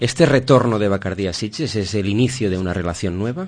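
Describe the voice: Speaking at a fairly quick pace, a man with a fairly low pitch and slightly mellow tone shows ordinary pitch variation.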